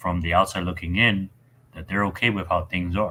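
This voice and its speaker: A man speaks in a bright, sharp tone. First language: not English. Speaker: football podcast host. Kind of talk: casual chat. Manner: halting.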